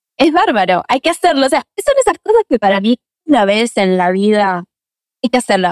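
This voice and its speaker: A woman's pitch swings very widely while her loudness stays very even, in a dry, close sound with no echo. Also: fairly high pitch for a woman, moderate pace. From Argentina (Buenos Aires). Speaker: actress and acting teacher. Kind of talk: interview conversation.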